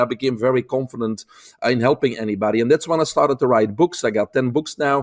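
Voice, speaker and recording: Very fast speech with ordinary pitch variation comes through a very clean recording, with a silent background and a dry, close sound with no echo. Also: man. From Belgium. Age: 50s. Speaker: holistic health expert. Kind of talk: interview.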